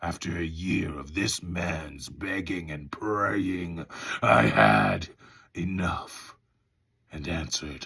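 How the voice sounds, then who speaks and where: A man uses a put-on character voice, raspy and very deep. He speaks at a very slow pace. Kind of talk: audiobook audition reading.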